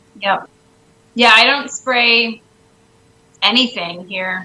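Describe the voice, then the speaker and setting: Amid noticeable background noise, a woman speaks very slowly with fairly even intonation. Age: young. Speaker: homesteader. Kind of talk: casual chat.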